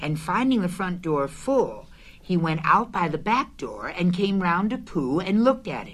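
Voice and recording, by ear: Someone reads aloud in a natural voice. The intonation moves in a lively way.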